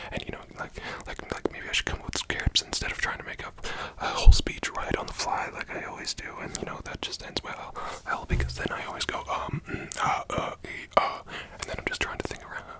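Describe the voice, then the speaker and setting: Whispering fairly quickly, a man swings widely in loudness over noticeable background noise. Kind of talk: ASMR video, casual talk to camera. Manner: fast, rambling, spontaneous.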